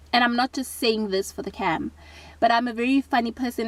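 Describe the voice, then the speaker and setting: Somewhat breathy and fairly high in pitch, a woman speaks with fairly even intonation. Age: 30s. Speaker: vlogger. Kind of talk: casual vlog monologue.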